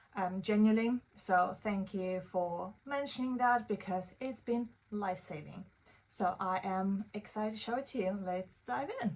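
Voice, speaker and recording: A woman with a non-native accent, fairly slow in pace, with ordinary pitch variation. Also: medium pitch for a woman. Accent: noticeable non-native English. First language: not English (English is third language or later). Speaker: AI tools creator, consultant. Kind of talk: tutorial. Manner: casual, with many fillers (um, uh, like).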